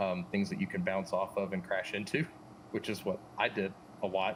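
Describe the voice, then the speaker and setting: A man with an American accent speaks at a moderate pace. His voice makes very wide pitch swings. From US South, western Arkansas Ozarks. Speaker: drone simulator team member presenting updates. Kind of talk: casual livestream chat. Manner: casual, filler-heavy.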